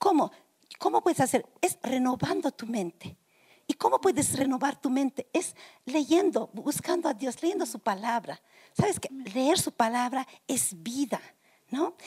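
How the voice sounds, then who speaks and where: In a dry, close recording with no echo, a woman speaks at a high pitch and a fairly slow pace, her pitch swinging very widely. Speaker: pastor. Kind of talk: Q&A panel answers.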